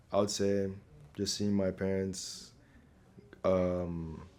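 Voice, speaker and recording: A man at a fairly slow pace, monotone and flat, with audible room echo. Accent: American. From Nigeria. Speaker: scholarship applicant. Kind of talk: interview. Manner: casual, with filler words.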